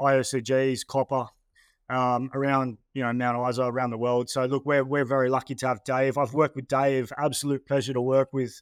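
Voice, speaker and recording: A man with an Australian accent, medium-pitched, talking at a very fast pace over a quiet background. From Australia, New South Wales (Terrigal, north of Sydney). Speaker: mining company managing director. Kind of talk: interview. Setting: studio. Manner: casual, with many fillers and repeated words.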